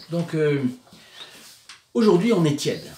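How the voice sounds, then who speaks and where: Amid noticeable background noise, a man's voice makes very wide pitch swings. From southern France, Provence. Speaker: religious video presenter. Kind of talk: religious commentary talk. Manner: hesitant, many filler sounds.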